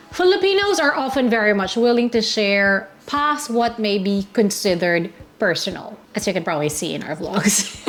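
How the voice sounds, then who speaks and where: With lively intonation and hardly any pauses, a woman at a medium pitch talks at a moderate pace over noticeable background noise. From Philippines. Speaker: travel vlogger. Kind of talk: travel tips talk. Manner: loud.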